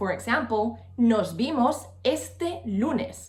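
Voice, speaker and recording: With music playing behind her, a woman speaks in a Spanish accent at a fairly high pitch, her voice swinging very widely up and down. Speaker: language teacher. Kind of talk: tutorial.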